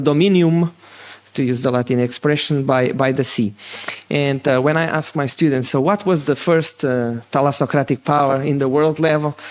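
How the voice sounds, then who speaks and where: Loudness stays very even as a man with a slight Portuguese accent speaks at a fairly high pitch with ordinary pitch variation. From Portugal. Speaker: political science professor. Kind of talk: lecture. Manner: fast.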